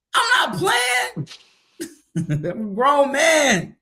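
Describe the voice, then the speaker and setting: Projecting a raised voice with a bright, sharp tone, a man swings very widely in pitch. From DMV area (DC, Maryland, Virginia). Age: 30s. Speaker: rapper. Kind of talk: interview.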